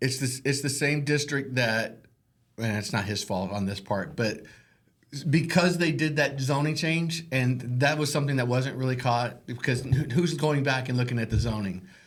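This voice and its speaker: A man with an American accent speaks at medium pitch and a moderate pace, somewhat breathy, with an animated tone and ordinary pitch variation. Audible room echo surrounds him. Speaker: realtor and podcast host. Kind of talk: casual chat.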